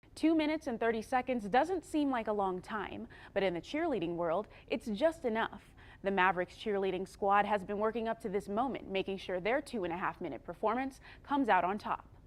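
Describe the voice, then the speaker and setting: With an unremarkable speaking voice, a woman talks at a fairly quick pace, fairly high in pitch and with lively intonation. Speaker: TV news reporter and producer. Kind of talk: recorded news story voiceover narration.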